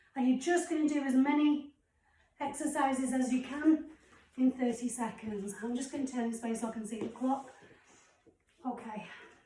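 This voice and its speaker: With a British accent, a woman speaks at a high pitch and a moderate pace. Her intonation is fairly even, and she leaves long, frequent pauses. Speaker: fitness instructor. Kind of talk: workout instruction.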